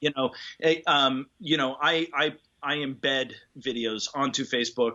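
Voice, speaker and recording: At a fairly slow pace, a man with a fairly high pitch speaks in a plain, everyday voice. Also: fairly even intonation. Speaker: tuba player. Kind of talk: interview answer. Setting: video call.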